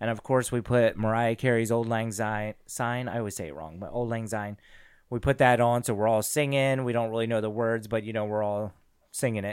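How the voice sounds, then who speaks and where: Here is a man with an ordinary speaking voice, medium pitch and fairly even intonation, going at a fairly quick pace. The recording is very clean, with a silent background. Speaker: podcast host. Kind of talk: casual chat.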